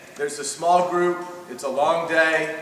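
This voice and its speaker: A man with an American accent speaks in a fairly high voice, with noticeable background noise and audible echo from the room. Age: 40s. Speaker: basketball coach. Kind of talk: coaching clinic lecture. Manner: fast; loud.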